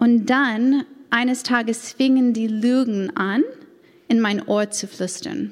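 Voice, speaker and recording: A woman with a strong American accent, fairly high pitch, a very slow pace and ordinary pitch variation. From United States. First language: English (speaking German). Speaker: church women's leader. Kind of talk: personal testimony. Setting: church event with audience, microphone. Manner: non-native, some grammar errors.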